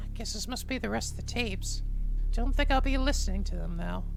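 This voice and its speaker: A cartoonish character voice at a very fast pace over loud background noise. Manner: smug, theatrical.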